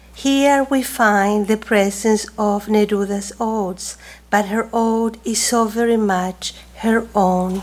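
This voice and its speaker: A woman with a Chilean accent, very slow, fairly high in pitch, her intonation fairly even. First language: Spanish. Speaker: professor and poet, moderator. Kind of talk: formal introduction and panel discussion. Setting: stage with audience.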